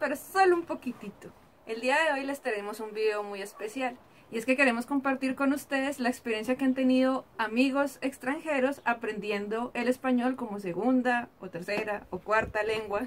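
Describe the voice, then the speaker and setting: Pitch shifts in an ordinary way. The pace is moderate. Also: woman, high pitch for a woman. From Latin America. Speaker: YouTuber. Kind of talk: video presentation.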